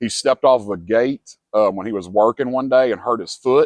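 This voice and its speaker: Using an ordinary speaking voice, a man talks at a fairly quick pace and medium pitch, with a dry, close sound with no echo. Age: 40s. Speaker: homeless man interviewed. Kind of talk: interview testimony.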